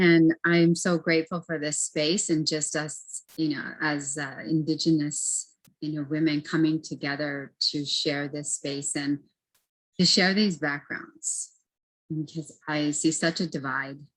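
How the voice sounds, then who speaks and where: In a very deep, low pitch, a woman talks at a fairly slow pace with monotone, flat intonation. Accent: American. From US Great Plains, Pine Ridge reservation, South Dakota. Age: 40s. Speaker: academic advisor and guest speaker. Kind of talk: panel discussion on video call.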